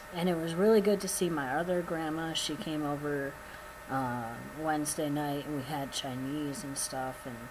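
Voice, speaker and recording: Noticeable background noise behind speech at a moderate pace. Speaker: vlogger. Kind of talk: casual vlog update. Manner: casual, filler-heavy.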